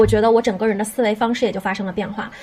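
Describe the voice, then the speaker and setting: A woman's fairly high-pitched voice. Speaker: podcast host. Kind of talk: casual chat.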